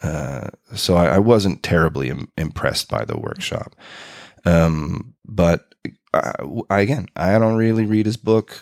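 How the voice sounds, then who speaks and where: In a normal speaking voice with a Canadian accent, a man talks at a fairly slow pace with lively intonation, the sound dry and close with no echo. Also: fairly low pitch for a man. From Canada, Winnipeg, Manitoba. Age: 40s. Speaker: improv performer and teacher. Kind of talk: casual interview.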